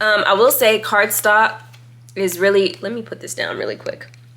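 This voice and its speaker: Against noticeable background noise, a woman talks at a moderate pace in an animated tone. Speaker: tarot reader and YouTuber. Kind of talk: casual deck review monologue.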